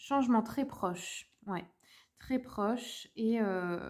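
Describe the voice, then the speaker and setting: The voice belongs to a woman and sits fairly high. It has a dark, mellow tone. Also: very clean recording, silent background. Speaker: tarot reader, medium. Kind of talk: tarot reading for viewers. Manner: hesitant, many fillers.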